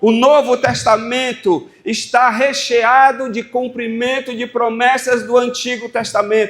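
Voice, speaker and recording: Speaking with a Brazilian accent, the voice moves at a very slow pace with hardly any pauses and fairly even intonation. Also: man, extremely high pitch for a man. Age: 60s. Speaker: pastor. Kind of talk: sermon.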